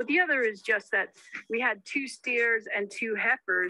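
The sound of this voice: Bright and sharp in tone, a woman talks at a fairly high pitch and a moderate pace with ordinary pitch variation.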